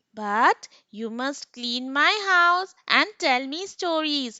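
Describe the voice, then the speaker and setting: Using a put-on character voice, a woman speaks with a high pitch. Her pace is very slow. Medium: read story. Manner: warm, chatty.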